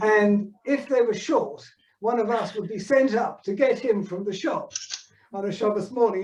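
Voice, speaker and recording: This man's voice sits high in pitch. He talks at a moderate pace with ordinary pitch variation. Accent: southern English. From southern England. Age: 70s. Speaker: synagogue founder's son. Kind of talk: reminiscing. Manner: halting.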